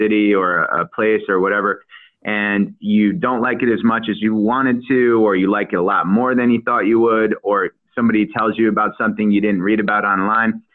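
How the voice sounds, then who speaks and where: Here is a man with an ordinary speaking voice, fairly low in pitch. He keeps a fairly quick pace. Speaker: travel expert. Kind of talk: radio interview.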